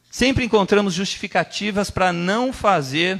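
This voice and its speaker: This man talks at a fairly slow pace. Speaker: preacher. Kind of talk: sermon.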